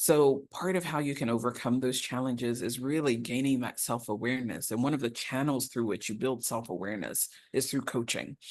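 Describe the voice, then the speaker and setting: In an American accent, a woman with a very deep, low pitch talks at a fairly quick pace with hardly any pauses and ordinary pitch variation over a quiet background. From Ghanaian family raised in the US. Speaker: leadership speaker and author. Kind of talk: motivational talk.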